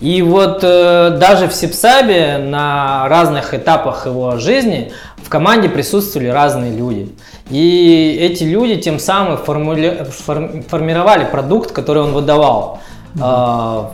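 Over noticeable background noise and audible room echo, a man speaks at a fairly slow pace in a fairly high voice. His intonation is lively, with big swings in loudness. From Russia, Tyumen (Siberia). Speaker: skateboarder and videographer. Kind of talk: casual chat.

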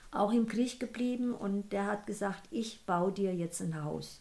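Somewhat breathy and dark, mellow in tone, a woman speaks very slowly at a medium pitch with ordinary pitch variation. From Sudetenland, Czech Republic; raised in Hesse. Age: 80s+. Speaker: grandmother. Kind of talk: casual chat. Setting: sitting beside the host. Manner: halting.

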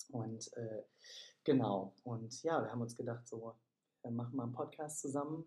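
A man speaks at a moderate pace and medium pitch, somewhat breathy with a dark, mellow tone, ordinary pitch variation and long, frequent pauses. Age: 20s. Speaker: podcast co-host, yoga studio manager. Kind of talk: casual chat. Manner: hesitant, many fillers.

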